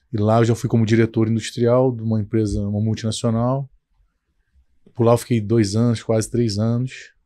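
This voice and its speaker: Against a quiet background, a man talks in a dark, mellow tone with monotone, flat intonation. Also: moderate pace. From Brazil, Petrópolis (Rio de Janeiro state); Rio de Janeiro state, Brazil. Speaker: company founder, engineer; guest. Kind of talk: interview. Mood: calm, reflective storytelling. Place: studio. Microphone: studio mic.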